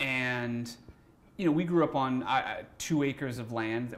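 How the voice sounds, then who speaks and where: A man with an American accent has a medium pitch and ordinary pitch variation. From Massachusetts (East Taunton). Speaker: film director and cinematographer. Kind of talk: casual interview chat. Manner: hesitant, many fillers and repeats.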